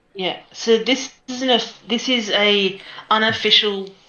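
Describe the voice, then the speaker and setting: A woman with an Australian accent and fairly even intonation. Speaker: stream co-player. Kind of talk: casual chat.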